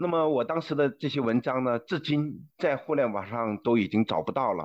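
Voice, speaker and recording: This is an unremarkable speaking voice with lively intonation. The pace is moderate and the background quiet. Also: man. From China. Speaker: former journalist. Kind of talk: interview.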